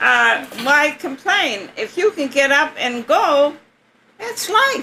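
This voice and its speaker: A woman speaks very slowly in a raised, projected, high-pitched voice, her pitch swinging very widely. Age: 80s+. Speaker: retiree, community center treasurer. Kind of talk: personal recollection.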